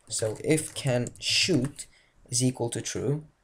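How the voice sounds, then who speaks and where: The recording is very clean, with a silent background. The speaker has a non-native accent. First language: not English. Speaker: game development tutorial maker. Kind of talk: tutorial. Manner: halting, many fillers and restarts.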